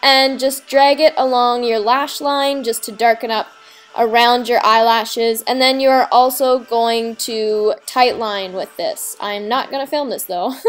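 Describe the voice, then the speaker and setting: A woman's high-pitched voice moves at a fairly slow pace, with noticeable background noise behind it. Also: ordinary pitch variation. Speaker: makeup tutorial host. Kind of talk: casual tutorial voice-over.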